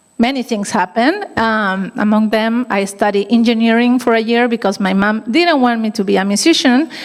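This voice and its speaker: Against noticeable background noise, a woman with a Chilean accent talks with ordinary pitch variation. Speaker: violin teacher. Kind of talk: gala speech. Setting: stage with audience.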